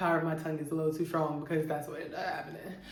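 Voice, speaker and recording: Audible room echo surrounds the voice of a woman speaking. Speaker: YouTube storyteller. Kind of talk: storytime monologue. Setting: home. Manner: animated.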